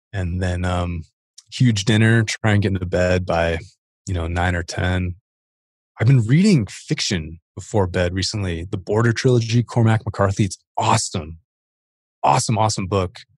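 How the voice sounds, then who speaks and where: A somewhat breathy, fairly low male voice with ordinary pitch variation against a quiet background. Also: moderate pace. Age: 30s. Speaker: fitness equipment entrepreneur. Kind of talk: casual chat.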